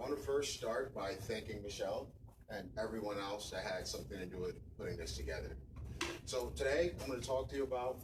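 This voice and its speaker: Audible room echo surrounds a man of medium pitch. He talks at a fairly quick pace with lively intonation. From West Africa. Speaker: tech professional, event speaker. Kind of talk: conference talk. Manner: soft-spoken.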